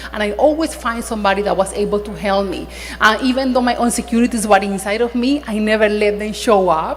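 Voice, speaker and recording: Noticeable background noise behind a woman's fairly high voice, fairly quick pace and ordinary pitch variation. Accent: non-native. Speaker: attorney. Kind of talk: panel discussion. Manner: halting.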